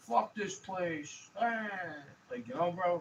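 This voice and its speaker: A man mumbling in a high voice with an American accent. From New York City. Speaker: vlogger. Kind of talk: casual rant. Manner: fast.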